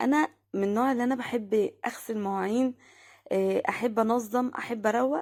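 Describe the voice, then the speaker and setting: A woman's fairly high voice in an Egyptian accent, with ordinary pitch variation and a moderate pace. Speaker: vlogger, homemaker. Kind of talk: home routine vlog narration. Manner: halting, many fillers.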